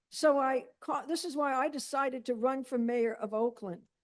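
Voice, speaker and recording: A woman with a high voice speaks at a moderate pace with ordinary pitch variation. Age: 70s. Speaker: mayoral candidate. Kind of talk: candidate forum answer.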